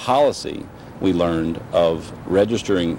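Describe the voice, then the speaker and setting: Against noticeable background noise, a man speaks at a very deep, low pitch with ordinary pitch variation. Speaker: interviewee. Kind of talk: interview answer. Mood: critical, earnest. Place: street.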